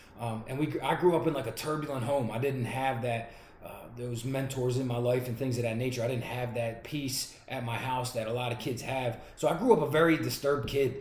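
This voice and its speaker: A man speaks at a fairly quick pace with a Philadelphia accent and fairly even intonation. Noticeable background noise and audible room echo are present. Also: medium pitch for a man. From Pennsylvania, Pottstown and North Philadelphia. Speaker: pastor and recovery advocate. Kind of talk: testimony. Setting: recorded video. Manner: fast.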